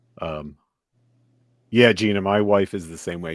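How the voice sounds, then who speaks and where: A man with an American accent and a very deep, low pitch, ordinary pitch variation, a dry, close sound with no echo, and music in the background. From western New Jersey (Phillipsburg area). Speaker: toy channel host. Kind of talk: casual livestream chat.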